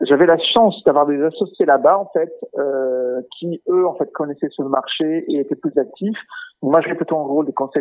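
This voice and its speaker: Moderate pace and ordinary pitch variation in a man's fairly high voice. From Portugal. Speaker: chief digital officer. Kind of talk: interview. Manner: hesitant, many fillers.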